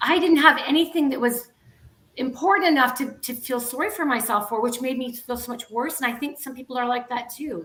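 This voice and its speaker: A woman speaks at a fairly quick pace. Her voice is high-pitched, with ordinary variation. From Canada. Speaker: guest speaking about grief and loss. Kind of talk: casual talk show interview.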